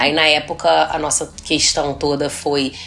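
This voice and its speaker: Noticeable background noise fills the clip. A woman is talking. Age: 30s. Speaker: gynecologist and podcast host. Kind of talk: casual chat.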